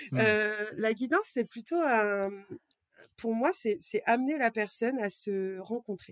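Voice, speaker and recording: Speaking at a very slow pace, a woman with a fairly high pitch uses lively intonation, recorded with a dry, close sound and no echo. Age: 30s. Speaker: card reader and energy healer. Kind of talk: casual interview chat. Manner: halting.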